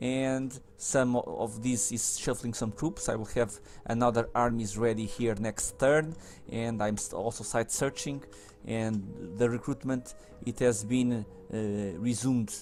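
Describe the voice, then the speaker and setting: With music playing behind him, a man speaks at a fairly slow pace in a medium pitch with fairly even intonation. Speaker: video game let's player. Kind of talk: gameplay commentary. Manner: halting, many self-corrections.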